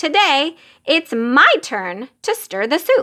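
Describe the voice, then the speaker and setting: Putting on a character voice, a woman speaks very slowly in a high pitch with very wide pitch swings. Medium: read story. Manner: eager.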